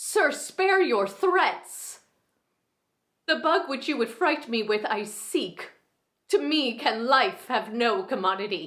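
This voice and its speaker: A strained, put-on character voice swings very widely in pitch. The pace is fairly slow. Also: woman, high pitch for a woman. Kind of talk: Shakespeare monologue performance. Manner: composed, dignified, restrained grief.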